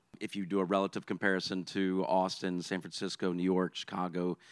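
The pace is moderate. The recording is very clean with a silent background, and the sound is dry and close with no echo. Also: man. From Louisiana, Baton Rouge. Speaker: social entrepreneur. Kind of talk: panel discussion.

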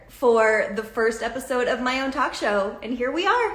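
Against noticeable background noise, a woman with an American accent speaks at a fairly slow pace. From Massachusetts, US. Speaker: talk show host. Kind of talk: live video talk show interview. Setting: live video stream. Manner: animated.

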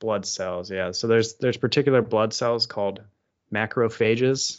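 At a moderate pace, a man speaks in a normal speaking voice at a medium pitch with fairly even intonation. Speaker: podcast co-host. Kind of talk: casual banter. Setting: home office.

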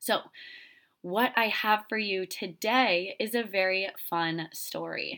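Very slow speech from a woman with an American accent, medium in pitch and bright and sharp in tone, on a very clean recording with a silent background. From Florida. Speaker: podcast host and retreat leader. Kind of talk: casual storytelling monologue. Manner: animated.

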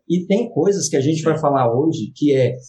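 A man's voice comes across somewhat breathy, and his intonation is lively. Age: 30s. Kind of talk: casual interview chat.

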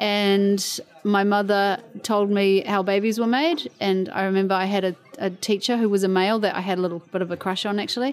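In a normal speaking voice, a woman talks at a moderate pace and a medium pitch, with ordinary pitch variation. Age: 40s. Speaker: interviewee. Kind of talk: casual chat. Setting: outdoors.

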